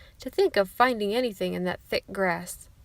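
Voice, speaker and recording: A put-on character voice comes at a moderate pace, with a dry, close sound and no echo. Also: woman, medium pitch for a woman. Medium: read story.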